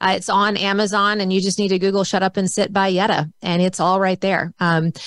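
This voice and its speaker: A woman talks at a fairly quick pace in a medium pitch. She has an ordinary speaking voice. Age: 50s. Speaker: author and speaker. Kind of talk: casual chat.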